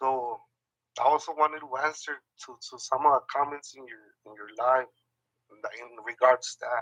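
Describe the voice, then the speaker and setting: A man speaks at a moderate pace with a fairly high pitch and a bright, sharp tone. The sound is dry and close, with no echo. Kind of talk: casual chat. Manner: halting, many fillers.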